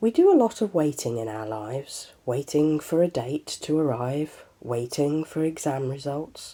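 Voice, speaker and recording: A woman with a very deep, low pitch talks with hardly any pauses on a very clean recording over a silent background. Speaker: podcast host. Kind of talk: solo podcast talk.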